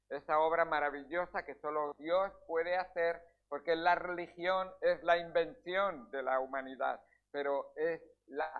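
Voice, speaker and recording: Talking at a fairly slow pace, a man's high voice shows ordinary pitch variation. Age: 60s. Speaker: pastor. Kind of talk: sermon. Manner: halting.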